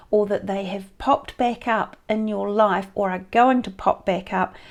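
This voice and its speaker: A woman in a plain, everyday voice talks at a medium pitch and a fairly slow pace, with fairly even intonation. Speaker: tarot reader. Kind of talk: tarot reading monologue.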